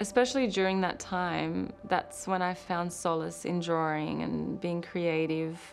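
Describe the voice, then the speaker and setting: With an Australian accent, a woman talks at a fairly slow pace with hardly any pauses, and room echo is audible. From Croatia (Dubrovnik), then Queensland, Australia from childhood. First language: Croatian. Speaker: fashion designer. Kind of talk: documentary narration.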